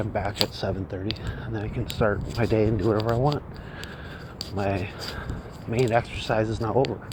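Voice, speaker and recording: Quiet and at a fairly low pitch, a man talks at a fairly quick pace with fairly even intonation and long, frequent pauses amid noticeable background noise. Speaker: copywriting teacher vlogger. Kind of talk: casual walking vlog monologue. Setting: outdoors, walking on street early morning. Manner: keeping voice down, quiet; halting, many fillers.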